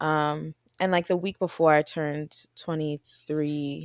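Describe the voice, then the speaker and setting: Her pitch is very deep and low for a woman, with ordinary pitch variation, heard in a dry, close sound with no echo on a very clean recording over a silent background. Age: 20s. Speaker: podcast co-host. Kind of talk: casual chat.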